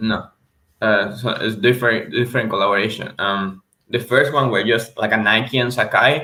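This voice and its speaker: At a moderate pace and medium pitch, a man with a Venezuelan accent shows vocal fry and ordinary pitch variation. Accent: Venezuelan Spanish accent, improving. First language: Spanish. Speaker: reseller. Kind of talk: casual livestream chat. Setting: livestream. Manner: halting, repeats words.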